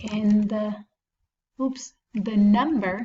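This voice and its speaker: A woman speaks very slowly at a medium pitch, with a non-native accent. Her voice is somewhat breathy and her intonation fairly even. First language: not English. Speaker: math teacher. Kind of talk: tutorial. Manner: casual, thinking aloud with self-corrections.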